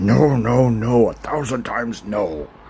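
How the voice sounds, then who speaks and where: Putting on a gruff character voice, a man speaks at a medium pitch and a fairly slow pace. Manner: emphatic, firm refusal.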